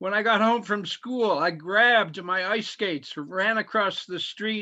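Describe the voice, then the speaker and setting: Using a raised, projected voice, a man with an American accent speaks at a high pitch in a bright, sharp tone. His pitch variation is ordinary, and the background is quiet. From US Midwest, Michigan. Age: 70s. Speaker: poet. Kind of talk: poetry reading. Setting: video call.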